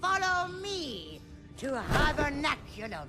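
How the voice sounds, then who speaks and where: A put-on character voice speaks at a high pitch and a fairly slow pace over clear music in the background. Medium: audio drama. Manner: formal, ceremonious.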